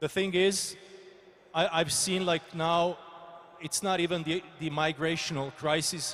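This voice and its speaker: Monotone, flat intonation comes in a Croatian accent against noticeable background noise. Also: man, high pitch for a man, fairly slow pace. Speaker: politician. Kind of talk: panel discussion. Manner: halting.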